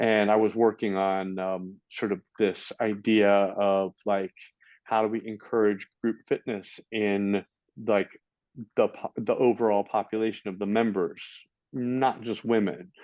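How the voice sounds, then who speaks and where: A man speaks with an American accent at a fairly slow pace. His fairly low voice stays monotone and flat. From California, US. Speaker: fitness and yoga trainer. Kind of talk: podcast interview. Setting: remote call. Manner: halting, many fillers and repeats.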